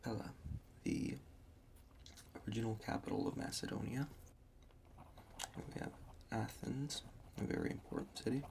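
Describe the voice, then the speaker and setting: A soft-spoken man with fairly even intonation, long and frequent pauses, and noticeable background noise. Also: medium pitch for a man, moderate pace. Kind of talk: ASMR history map tracing.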